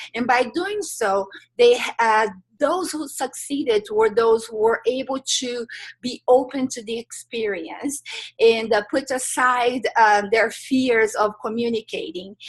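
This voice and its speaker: Fairly slow speech in a Brazilian Portuguese accent with ordinary pitch variation. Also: woman, high pitch for a woman. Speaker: life transitions coach. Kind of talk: interview. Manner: hesitant, many filler sounds.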